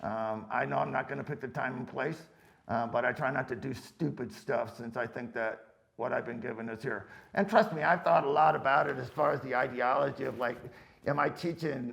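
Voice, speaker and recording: This man talks at a moderate pace with vocal fry and ordinary pitch variation. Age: 70s. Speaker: firearms instructor. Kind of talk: casual Q&A answering viewer questions. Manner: casual, rambling with fillers.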